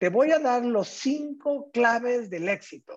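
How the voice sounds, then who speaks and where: Extremely high-pitched, a man speaks with lively intonation. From Mexico, small town in Jalisco. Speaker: entrepreneur. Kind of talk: casual interview chat.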